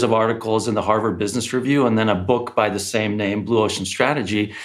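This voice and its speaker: A man talks at a medium pitch. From Hungary, raised in US. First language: Hungarian. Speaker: business strategist and author. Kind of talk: interview. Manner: halting, many fillers.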